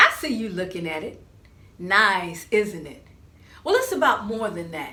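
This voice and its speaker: A woman at a medium pitch, fairly slow in pace, with lively intonation. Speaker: professional storyteller. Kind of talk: children's storytelling performance.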